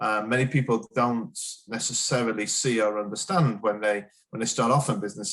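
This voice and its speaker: Talking at a fairly quick clip, a man with a slight northern English accent uses ordinary pitch variation. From northern England, Sheffield. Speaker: business executive. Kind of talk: interview. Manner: hesitant, many fillers and repeats.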